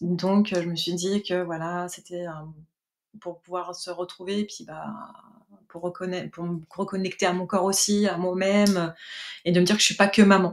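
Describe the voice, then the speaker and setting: At a moderate pace, a woman talks in a medium-pitched, flat monotone, with long, frequent pauses. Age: 40s. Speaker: mobile hairdresser giving a client testimonial. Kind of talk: testimony interview. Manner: hesitant, many fillers.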